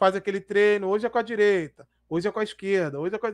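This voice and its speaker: A man is speaking. The background is quiet. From Brazil. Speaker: football YouTuber. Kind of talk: live stream commentary. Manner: casual, slangy. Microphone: headset.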